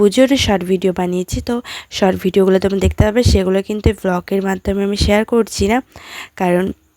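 A woman's dark, mellow tone, monotone and flat, in a dry, close sound with no echo. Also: medium pitch for a woman. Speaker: lifestyle vlogger. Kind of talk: vlog narration. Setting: at home. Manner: casual, chatty.

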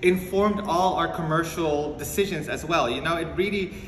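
A man talks at a moderate pace, with light background noise and audible echo from the room. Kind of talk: interview answer. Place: home room. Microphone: phone near.

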